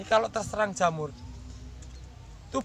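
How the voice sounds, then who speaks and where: The speaker talks at a fairly quick pace with a Javanese accent. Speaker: farmer and farming channel host. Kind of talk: farming tutorial. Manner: fast speech as demonstration.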